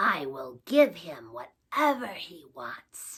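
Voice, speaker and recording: Putting on a character voice, a female-sounding speaker growls in a gravelly tone at a middle pitch and a very slow pace. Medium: read story. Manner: commanding.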